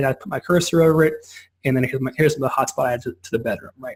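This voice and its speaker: A man talking at a very fast pace. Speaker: software company rep giving product demo. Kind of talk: product demo on a call. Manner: casual, halting with many restarts.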